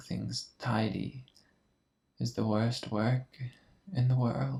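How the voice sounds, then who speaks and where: A soft-spoken man. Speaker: ASMR artist. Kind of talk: bedtime story reading. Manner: soft-spoken, slow.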